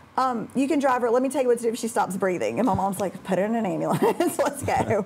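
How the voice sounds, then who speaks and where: Speaking at a very fast pace, a woman with a Southern US accent uses a fairly high pitch and lively intonation. Background noise is noticeable. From Alabama (Birmingham area), US South. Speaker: high school math teacher. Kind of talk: interview. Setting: studio.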